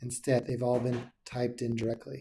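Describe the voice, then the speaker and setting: This man speaks at a moderate pace with a medium pitch and a dark, mellow tone. His voice is somewhat breathy. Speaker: software support tutor. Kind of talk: tutorial.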